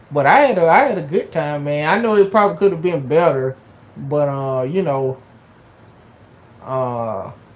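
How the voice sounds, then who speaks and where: With a Georgia accent, a man speaks at a fairly high pitch and a moderate pace, using lively intonation. He takes long, frequent pauses over noticeable background noise. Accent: Southern US (Georgia). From US South, Georgia. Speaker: YouTuber. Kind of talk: casual vlog talk. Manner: halting, many fillers and repetitions.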